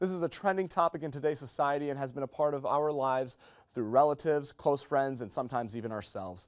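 A man's fairly high voice at a very fast pace, over a quiet background. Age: young. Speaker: student broadcaster. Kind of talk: TV show host intro. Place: studio. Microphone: lapel.

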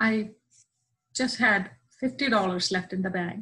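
A woman with a bright, sharp tone speaks against a quiet background. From southern India. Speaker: church member; interview guest. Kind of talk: testimony. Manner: halting. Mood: warm, heartfelt personal testimony. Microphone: video call.

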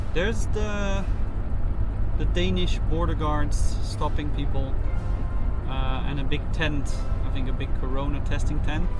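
A man speaks at a fairly slow pace. Loud background noise runs behind him. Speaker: passenger vlogger. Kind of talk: casual vlog chat. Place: car. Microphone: phone near.

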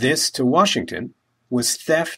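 On a very clean recording with a silent background, a man with an American accent talks in a normal speaking voice at medium pitch and a moderate pace. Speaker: local history educator. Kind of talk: scripted narration. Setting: outdoors.

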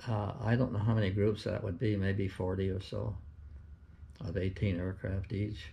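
Somewhat breathy and dark, mellow in tone, a man speaks at a moderate pace in a fairly low pitch with fairly even intonation. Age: 80s+. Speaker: war veteran. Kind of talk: interview answer. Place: home room. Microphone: camera far.

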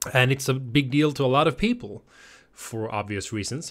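With a quiet background behind him, a man speaks using lively intonation. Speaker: reaction channel host. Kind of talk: casual vlog chat. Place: home room. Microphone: studio mic.

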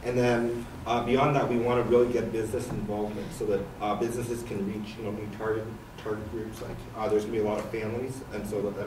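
A man speaks at a fairly quick pace in a fairly low, monotone voice with flat intonation, over noticeable background noise. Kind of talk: presentation to a public commission. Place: meeting room.

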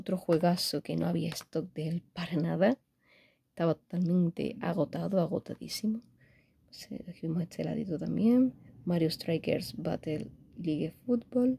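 Speaking with a Spanish accent at a fairly slow pace, a woman of fairly low pitch uses a dark, mellow tone, lively intonation and vocal fry. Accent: Spanish (Spain). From Spain. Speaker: gaming YouTuber. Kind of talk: unboxing video. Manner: animated. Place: home room. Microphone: phone near.

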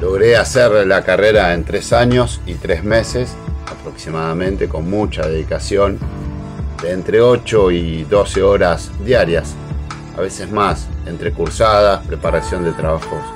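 Clear music plays behind a man with a very deep, low pitch. He talks at a fairly slow pace with lively intonation. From Argentina. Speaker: national broadcaster and radio host, sports. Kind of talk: casual talk to camera, self-introduction. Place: home room. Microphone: webcam.

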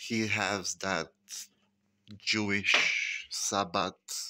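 A man with a bright, sharp tone and fairly low pitch speaks at a very slow pace in a dry recording with no echo. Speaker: vlogger. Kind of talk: casual vlog monologue. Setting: at home. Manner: groggy, sighing. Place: kitchen. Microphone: phone near.

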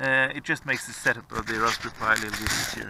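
A man's voice sounds dry with no echo, though noticeable background noise is present. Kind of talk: tutorial. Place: open country. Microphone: phone near.

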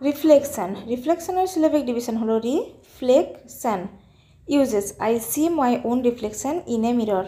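Her intonation is lively. The woman's pitch is high. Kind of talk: lecture.

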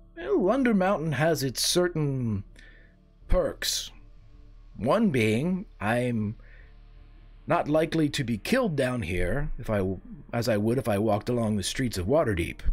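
Clear music plays in the background behind a put-on character voice. The speech moves at a fairly slow pace with long, frequent pauses. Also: man. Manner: polite, refined, slightly defensive.

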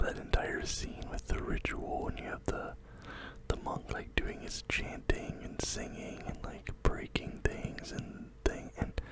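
A soft-spoken man whispers at a fairly slow pace, the sound dry with no echo but loud background noise behind him. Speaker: film reviewer. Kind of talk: casual movie recap commentary. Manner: close-mic soft whisper. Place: home room. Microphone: studio mic.

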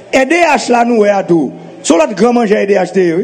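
A man's moderately paced voice with lively intonation over noticeable background noise.

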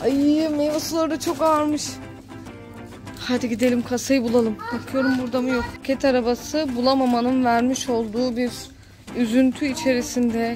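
Over clear background music, a woman with a high pitch speaks at a moderate pace with fairly even intonation. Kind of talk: casual vlog chat. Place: shop. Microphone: phone near.

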